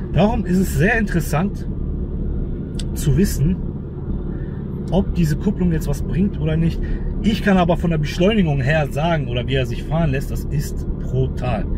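There is noticeable background noise around a man speaking at a moderate pace. His delivery has long, frequent pauses, and the sound is dry with no echo. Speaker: car mechanic vlogger. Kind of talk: casual vlog chat. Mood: excited, enthusiastic. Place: car. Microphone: phone near.

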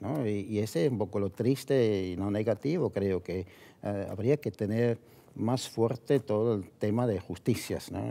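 Fairly low-pitched male voice, dark and mellow in tone, at a fairly slow pace with ordinary pitch variation. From Switzerland (Zurich); Switzerland. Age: 70s. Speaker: business owner; interview guest. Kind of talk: interview. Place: studio. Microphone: headset.

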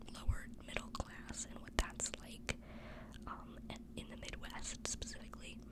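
The speech is whispered. Background noise is noticeable. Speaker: ASMR content creator / book reviewer. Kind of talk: casual book review ramble to camera. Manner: whispered, soft.

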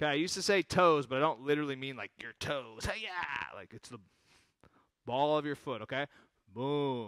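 A man speaks at a moderate pace with ordinary pitch variation and big swings in loudness. The sound is dry with no echo, against a quiet background. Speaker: exercise instructor. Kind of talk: exercise class instruction. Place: hall.

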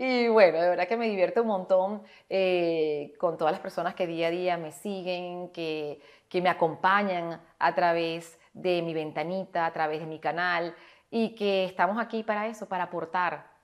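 Against a quiet background, a woman with a Maracaibo accent speaks at a fairly slow pace, her fairly low pitch held in fairly even intonation. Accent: Maracaibo Venezuelan. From Venezuela, Maracaibo; Venezuela. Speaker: actress and etiquette instructor; actress, etiquette instructor. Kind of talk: tutorial; interview answer. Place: home room.

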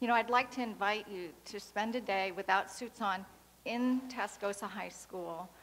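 Someone with an American accent speaks at a moderate pace, with big swings in loudness. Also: woman, medium pitch for a woman, fairly even intonation. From New York State and Florida. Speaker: audience member asking a question; audience member. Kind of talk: audience question. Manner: halting. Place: hall.

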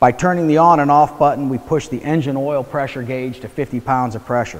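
Pitch varies in an ordinary way while the speech holds a moderate pace. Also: man. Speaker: product trainer. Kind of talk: tutorial. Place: garage. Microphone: lapel.

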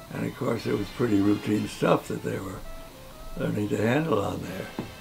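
Faint music plays in the background. A man with a fairly low voice speaks at a fairly quick pace. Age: 80s+. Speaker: war veteran. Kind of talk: interview answer. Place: home room.

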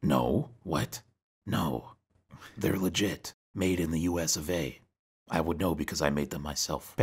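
In a cartoonish character voice, a man speaks at a moderate pace with a very deep, low pitch and long, frequent pauses. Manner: indignant, whiny rant.

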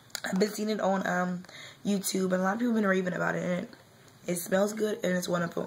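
A woman talks at a medium pitch with fairly even intonation. Noticeable background noise can be heard behind her. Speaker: beauty vlogger. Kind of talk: casual talk to camera.

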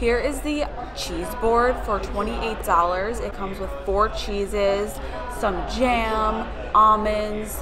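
Music plays in the background while a woman talks at a fairly slow pace. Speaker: vlogger. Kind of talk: casual vlog chat. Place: bar. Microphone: phone near.

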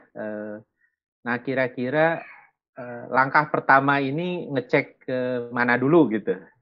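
A man talks at a fairly slow pace against a quiet background, his loudness swinging widely, his pitch varying in an ordinary way, and his speech broken by long, frequent pauses. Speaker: training organizer; webinar moderator. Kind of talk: closing remarks. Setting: video call. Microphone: video call.

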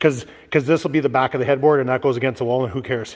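A man speaks at a very fast pace. His pitch is medium. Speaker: DIY home build vlogger. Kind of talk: casual vlog chat. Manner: animated.

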